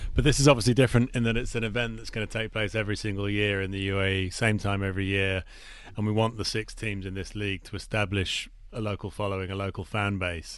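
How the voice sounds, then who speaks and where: With an English accent, a man talks at a very fast pace. His pitch sits fairly low. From England. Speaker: cricket league executive. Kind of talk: radio interview. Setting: radio studio.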